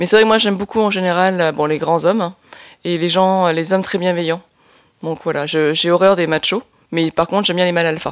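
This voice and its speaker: At a very fast pace, a woman talks in a fairly low voice with fairly even intonation. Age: 40s. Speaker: filmmaker and activist. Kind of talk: testimony. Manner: hesitant, many fillers and repetitions.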